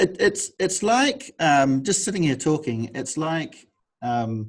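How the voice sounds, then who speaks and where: Speaking very slowly, a man with a fairly high voice swings his pitch very widely. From Australia. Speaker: publisher. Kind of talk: interview.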